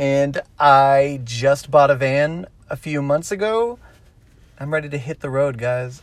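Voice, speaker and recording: A man with a Texan accent and a fairly high voice uses ordinary pitch variation in a very clean recording with a silent background. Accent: Texan American English. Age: 20s. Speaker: podcast host. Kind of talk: casual chat. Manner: loud.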